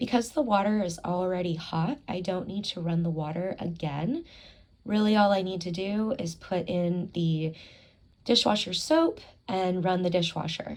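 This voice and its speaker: A woman's unremarkable speaking voice at medium pitch, with ordinary pitch variation. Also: moderate pace. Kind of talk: ASMR talking vlog, calm narration of housework. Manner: calm, soft, relaxing.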